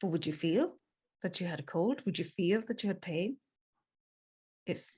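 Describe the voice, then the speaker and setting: In an Irish accent, a woman talks at a fairly slow pace in a medium pitch. Her voice is somewhat breathy, with lively intonation. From Ireland, Galway. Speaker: transformative coach. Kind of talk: casual interview chat.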